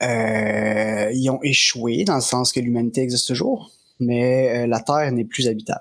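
This voice carries a Quebec accent and moves at a fairly slow pace. Its loudness stays very even, and the intonation is fairly even too. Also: man, medium pitch for a man. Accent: Québécois French. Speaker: game master. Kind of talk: tabletop role-playing game narration.

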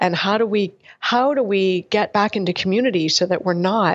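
In an ordinary speaking voice, a woman talks at a moderate pace and a medium pitch, with ordinary pitch variation. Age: 40s. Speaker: functional medicine doctor. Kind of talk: casual interview.

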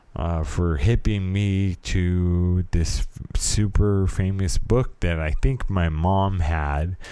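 A man with a very deep, low voice and a dark, mellow tone speaks very slowly in an American accent, with ordinary pitch variation and hardly any pauses. The recording is very clean, with a silent background. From California. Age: 30s. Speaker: podcast host. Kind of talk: personal podcast monologue. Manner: halting.

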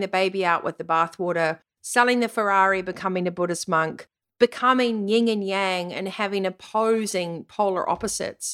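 Animated and energetic, a woman speaks at a medium pitch and a moderate pace with ordinary pitch variation, on a very clean recording with a silent background. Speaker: podcast host and vitality coach. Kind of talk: pep talk. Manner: earnest, motivational, emphatic; animated, energetic.

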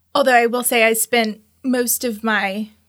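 On a very clean recording with a silent background, a woman with an American accent and a normal speaking voice talks at a moderate pace with fairly even intonation. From Tallahassee, Florida. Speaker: downtown development agency CEO, former funeral director. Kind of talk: casual interview.

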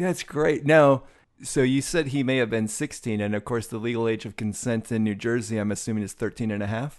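An ordinary speaking voice at a fairly quick pace, with ordinary pitch variation and a quiet background. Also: man, medium pitch for a man. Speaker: podcast host. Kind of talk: casual chat.

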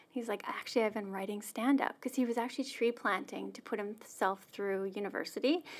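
Speaking at a fairly quick pace with hardly any pauses, a woman has a plain, everyday voice. Her pitch is fairly high, with ordinary pitch variation. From Saskatchewan, Canada. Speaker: church staff member sharing personal story. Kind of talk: interview, personal testimony.

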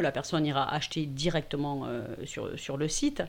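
A woman speaks with lively intonation. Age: 50s. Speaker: digital communication consultant and workshop organizer. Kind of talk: casual interview. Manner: hesitant, many fillers.

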